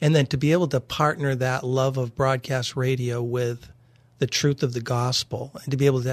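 Against a quiet background, the speaker sounds somewhat breathy, with monotone, flat intonation. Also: man, dry, close sound with no echo. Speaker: radio programming executive. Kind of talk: radio interview. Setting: studio.

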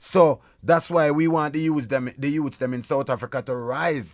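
With a Jamaican accent, a man speaks at a moderate pace in a fairly high voice with ordinary pitch variation, on a very clean recording with a silent background. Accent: Jamaican, patois-inflected. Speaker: reggae artist. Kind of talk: radio interview. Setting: radio studio.

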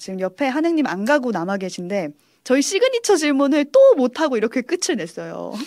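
A woman's fairly quick speech with very wide pitch swings. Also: very clean recording, silent background. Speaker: radio host interviewer. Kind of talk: casual interview chat. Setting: studio.

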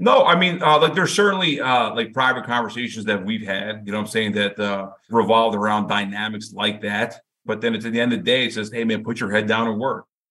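A man with an ordinary speaking voice, medium pitch and ordinary pitch variation, talking at a fairly quick pace with hardly any pauses. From US, Indian-American. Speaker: football coach. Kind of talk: interview. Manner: casual, filler-heavy.

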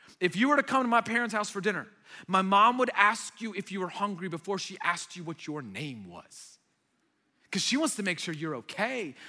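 Bright, sharp and animated, the projected voice moves at a fairly quick pace with lively intonation on a very clean recording with a silent background. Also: man, high pitch for a man. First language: Arabic. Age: 30s. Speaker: young adults pastor. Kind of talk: sermon. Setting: church stage with audience. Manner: animated, conversational.

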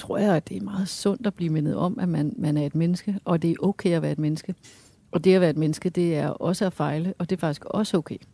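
A woman's fairly low, dark, mellow voice at a fairly quick pace, with ordinary pitch variation and a dry, close sound free of echo. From Denmark, Hørsholm. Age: 50s. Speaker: astrophysicist. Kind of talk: interview over a meal.

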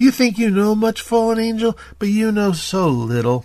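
A man uses a put-on character voice pitched high. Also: moderate pace.

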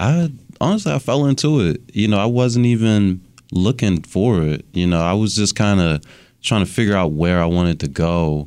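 A man speaks at a moderate pace with fairly low pitch and lively intonation, his loudness very even on a very clean recording with a silent background. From Baltimore, Maryland. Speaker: urban farmer. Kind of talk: interview.

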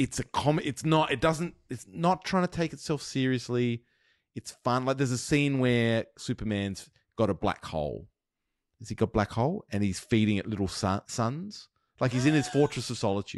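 Lively intonation from a man with an Australian accent at medium pitch. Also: moderate pace, dry, close sound with no echo. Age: 40s. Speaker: podcast host. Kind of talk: casual chat.

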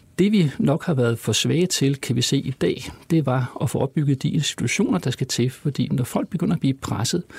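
This is a normal speaking voice with lively intonation at a moderate pace. The sound is dry and close, with no echo. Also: man. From Copenhagen, Denmark. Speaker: law professor. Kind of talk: interview conversation.

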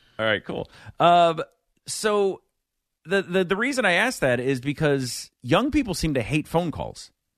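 A man's high voice with very wide pitch swings at a fairly slow pace, dry and close with no echo. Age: 40s. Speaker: fill-in radio host. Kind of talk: radio talk show. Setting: radio studio.

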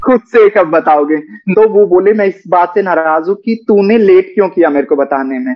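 A man with a high-pitched voice talks at a moderate pace, his pitch varying in an ordinary way. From Haryana, India (Rohtak). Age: 30s. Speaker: social media content creator. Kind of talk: casual interview.

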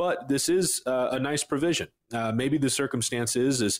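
A man with a normal speaking voice, moderate pace and ordinary pitch variation. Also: very clean recording, silent background. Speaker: financial advisor. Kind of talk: casual chat.

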